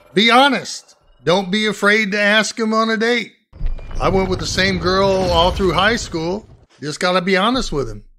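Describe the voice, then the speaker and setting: Over light background noise, a man speaks in a raised, projected voice. His high pitch comes with a bright, sharp tone. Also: ordinary pitch variation, moderate pace. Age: 70s. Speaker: retired war veteran. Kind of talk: casual advice to camera. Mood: warm, fatherly. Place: home room.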